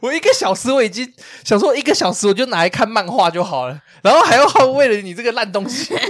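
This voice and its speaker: The pace is very fast and the tone animated. Noticeable background noise runs underneath. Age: 20s. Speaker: podcast host. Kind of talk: casual chat.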